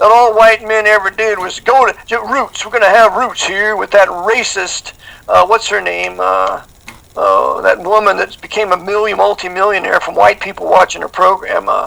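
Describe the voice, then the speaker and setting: The voice moves at a moderate pace, with noticeable background noise throughout. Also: man. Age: 60s. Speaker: conspiracy commentator. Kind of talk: interview.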